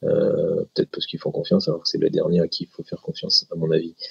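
A man's fairly quick speech comes through a dry, close sound with no echo. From France, Grenoble. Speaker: intellectual property lawyer. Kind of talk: interview.

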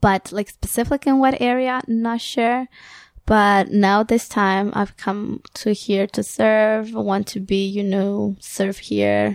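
Ordinary pitch variation runs through a very clean recording with a silent background. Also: woman. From Ecuador. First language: Spanish. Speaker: guest, daughter, translator. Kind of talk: casual interview chat.

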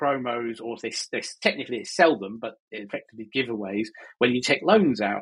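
Here is a man with an ordinary speaking voice and a medium pitch. He moves at a moderate pace, his pitch varying in an ordinary way. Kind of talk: casual chat. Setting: living in Spain.

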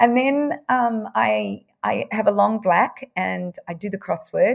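A woman with an Australian accent is heard in a very clean recording with a silent background. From Victoria, Australia. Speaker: nutritionist. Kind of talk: interview.

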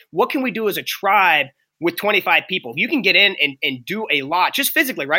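A man with an American accent projects a raised, high-pitched voice with a bright, sharp tone and very wide pitch swings at a fairly quick pace. The recording is very clean, with a silent background. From Pittsburgh, Pennsylvania. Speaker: former wrestler and performance coach. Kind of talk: interview. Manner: animated.

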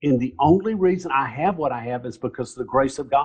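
A somewhat breathy, fairly high male voice with a Southern US accent, at a moderate pace. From US South, Alabama (Mountain Brook). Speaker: nonprofit founder. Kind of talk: interview. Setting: video call.

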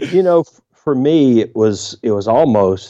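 A man talks in a dark, mellow tone with ordinary pitch variation. The background is quiet. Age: 50s. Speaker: pastor and author. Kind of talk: interview.

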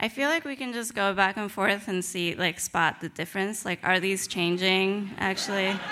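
Amid noticeable background noise, a woman speaks at a medium pitch and a moderate pace with hardly any pauses. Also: ordinary pitch variation. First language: Spanish. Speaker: novelist. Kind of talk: reading aloud; lecture.

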